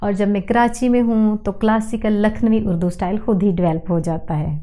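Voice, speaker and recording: With fairly even intonation at a medium pitch, a woman talks as noticeable background noise plays behind her. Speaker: language and accent educator. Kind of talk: educational talk to camera.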